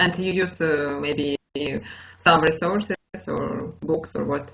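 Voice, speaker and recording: Music plays behind a woman with a Russian accent. She speaks at a moderate pace and a fairly low pitch. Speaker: English learner. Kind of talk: casual conversation practice. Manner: halting, many fillers.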